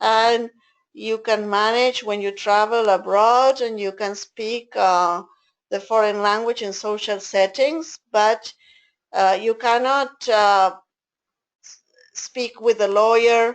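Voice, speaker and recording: A woman's fairly high voice in an Argentine accent, at a very slow pace with fairly even intonation and big swings in loudness, over a quiet background. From Argentina. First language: Spanish. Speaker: interpreter trainer. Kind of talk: online training session.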